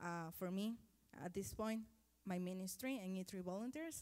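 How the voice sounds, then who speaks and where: A woman with a Spanish accent speaks with ordinary pitch variation. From Guatemala. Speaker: mission volunteer coordinator. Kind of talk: testimony. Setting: church. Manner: halting.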